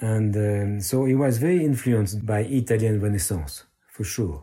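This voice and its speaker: On a very clean recording with a silent background, a man with a fairly low pitch and a somewhat breathy voice speaks at a moderate pace with ordinary pitch variation. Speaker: art gallerist. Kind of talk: interview.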